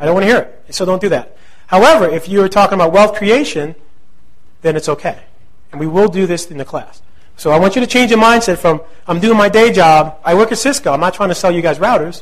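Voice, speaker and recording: A man talks at a very fast pace in a high pitch with a New Jersey accent and an animated tone. His pitch variation is ordinary, and audible room echo surrounds him. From New Jersey (central). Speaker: real estate investing instructor. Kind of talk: lecture.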